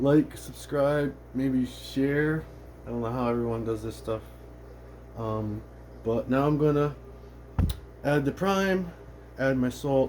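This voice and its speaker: A man mumbles at a very slow pace. His speech has long, frequent pauses. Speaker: aquarium hobbyist vlogger. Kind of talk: casual tutorial. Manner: mumbling.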